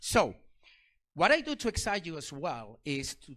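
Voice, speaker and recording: A man with a non-native accent speaks in an animated tone. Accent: foreign accent in English. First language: not English. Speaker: security researcher and speaker. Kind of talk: technical talk to a live audience. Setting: stage with audience.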